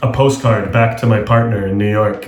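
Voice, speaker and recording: A man with an American accent at medium pitch and a moderate pace, monotone and flat, with noticeable background noise and audible room echo. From international schools in Asia and Australia. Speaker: travel writer and journalist. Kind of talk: interview.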